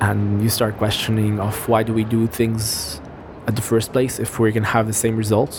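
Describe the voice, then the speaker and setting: The voice stays monotone with flat intonation, and noticeable background noise runs beneath it. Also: man, fairly low pitch for a man, moderate pace. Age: 20s. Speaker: filmmaker. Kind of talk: personal testimony.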